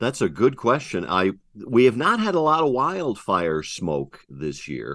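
Against a quiet background, a man with vocal fry talks at a fairly slow pace, his medium pitch moving in very wide swings. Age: 60s. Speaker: TV meteorologist. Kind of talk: radio interview.

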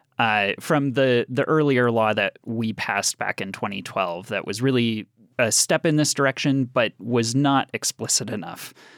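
There is an unremarkable speaking voice here, a man's at medium pitch, with ordinary pitch variation and a moderate pace. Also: very clean recording, silent background. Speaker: health policy advocate. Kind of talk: radio interview.

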